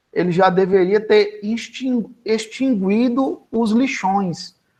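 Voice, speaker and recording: A man with ordinary pitch variation. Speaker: professor, agriculture course coordinator. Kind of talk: lecture.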